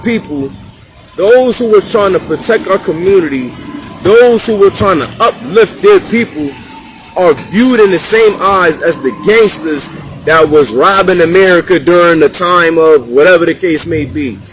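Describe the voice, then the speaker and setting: Music plays in the background as a man speaks at a moderate pace. His voice is high-pitched with lively intonation. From Hartford, Connecticut. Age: 30s. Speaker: community talk show host. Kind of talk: street conversation monologue. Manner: animated.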